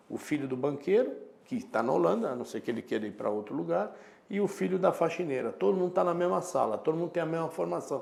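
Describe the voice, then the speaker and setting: Talking at a very fast pace, a man makes very wide pitch swings. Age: 60s. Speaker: professor. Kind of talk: casual chat.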